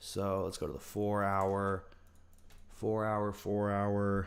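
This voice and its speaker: A man talks with a fairly low pitch. Audible room echo is present. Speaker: livestreamer and trader. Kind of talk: casual livestream chat while backtesting trades. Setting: livestream with chat. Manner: relaxed, lots of fillers.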